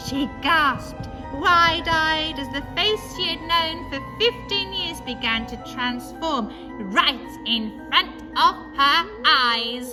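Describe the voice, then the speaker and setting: With a raised, projected voice and lively intonation, the speaker goes at a very slow pace, loudness swinging widely while music plays in the background. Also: woman, high pitch for a woman. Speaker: storyteller. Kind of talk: ghost story reading.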